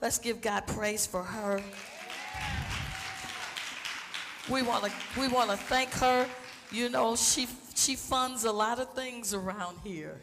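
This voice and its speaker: A woman speaks at a very slow pace with ordinary pitch variation. Crowd noise fills the background. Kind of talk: church stage announcement. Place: church. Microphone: headset.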